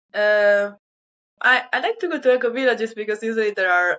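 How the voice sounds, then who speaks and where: In an Italian accent, a woman speaks fairly quickly at a fairly high pitch with ordinary pitch variation. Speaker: sustainability volunteer. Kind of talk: interview. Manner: hesitant, many fillers.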